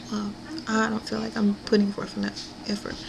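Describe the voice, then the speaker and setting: Noticeable noise fills the background. A woman's voice comes through over it. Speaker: weight-loss vlogger. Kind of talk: personal video diary. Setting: at home. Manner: hesitant, many fillers.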